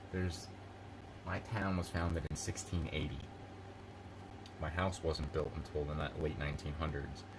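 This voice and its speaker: In an American accent and a relaxed tone, the speaker keeps a moderate pace with long, frequent pauses and fairly even intonation, amid audible room echo and noticeable background noise. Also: man, very deep, low pitch for a man. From Philadelphia area, US Northeast. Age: 30s. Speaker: live streamer. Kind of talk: casual live stream chat. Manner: relaxed, rambling with fillers.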